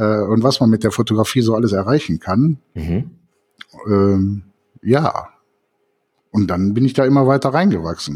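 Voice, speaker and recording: A medium-pitched male voice at a moderate pace, with lively intonation, very even loudness, and long, frequent pauses. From Cologne. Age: 50s. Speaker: photographer and podcast co-host. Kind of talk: casual chat.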